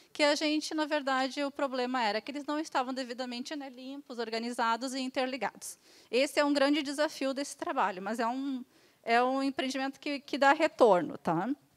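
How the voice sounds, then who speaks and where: Ordinary pitch variation at a fairly quick pace. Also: woman, high pitch for a woman. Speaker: municipal tax auditor. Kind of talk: conference presentation. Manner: fast.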